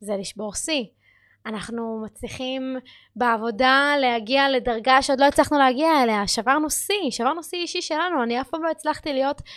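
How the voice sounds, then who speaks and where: Pitched high, a woman talks at a moderate pace with ordinary pitch variation, captured in a very clean recording against a silent background. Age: 20s. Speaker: podcast host and powerlifting athlete. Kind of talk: casual monologue. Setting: studio. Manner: halting.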